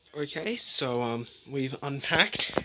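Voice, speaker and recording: A man at a very slow pace amid loud background noise. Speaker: vlogger. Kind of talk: casual vlog chat. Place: home room. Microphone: phone near.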